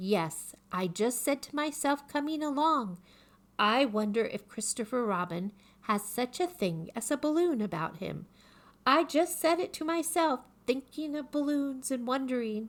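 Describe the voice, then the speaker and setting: Over a very clean recording with a silent background, a put-on character voice growls at a moderate pace. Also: woman, high pitch for a woman. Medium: read story. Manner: earnest, slow, ponderous.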